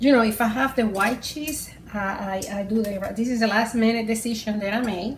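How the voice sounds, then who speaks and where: A woman's fairly high voice in a Puerto Rican accent, with fairly even intonation and hardly any pauses, plus audible room echo and noticeable background noise. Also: moderate pace. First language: Spanish. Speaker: home cook. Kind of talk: cooking tutorial. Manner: casual, hesitant.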